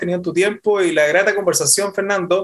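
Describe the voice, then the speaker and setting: Very fast speech comes from a man. His pitch is high. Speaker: podcast co-host, business founder. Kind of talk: interview conversation. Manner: halting, repeats words.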